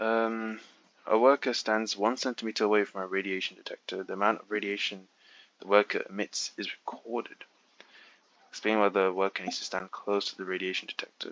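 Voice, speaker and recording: With a fairly low pitch, a man speaks at a fairly quick pace. His intonation is monotone and flat. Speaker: physics exam walkthrough tutor. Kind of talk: tutorial. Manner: halting, stuttering; quieter at first. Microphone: quiet recording level.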